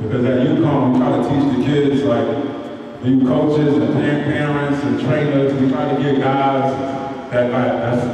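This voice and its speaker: Strong room echo and light background noise surround a man speaking at a fairly slow pace. His intonation is monotone and flat. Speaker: basketball coach presenter. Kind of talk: clinic presentation talk. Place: hall.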